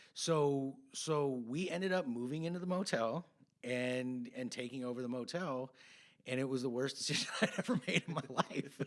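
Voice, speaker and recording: Moderate-paced male speech in an American accent, an ordinary speaking voice at medium pitch with ordinary pitch variation. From California, Santa Cruz area. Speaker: podcast host. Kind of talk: casual chat.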